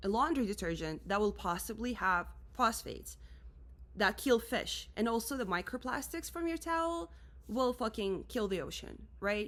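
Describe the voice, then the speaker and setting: A woman speaks in a Russian accent with an animated tone. The recording is very clean, with a silent background. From Russia, Moscow. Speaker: musician and creative director. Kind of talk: rant vlog.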